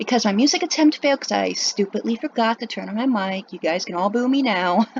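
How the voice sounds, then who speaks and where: Talking at a very fast pace, a woman uses lively intonation and a fairly high pitch. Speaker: artist drawing on stream. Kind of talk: voiceover while drawing. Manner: long pauses, stuttering; trouble pronouncing some words. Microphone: laptop built-in mic.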